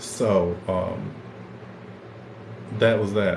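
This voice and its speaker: Room echo that is audible, plus noticeable noise in the background. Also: man. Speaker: podcast host. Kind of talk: casual livestream chat. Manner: stuttering, repeats words.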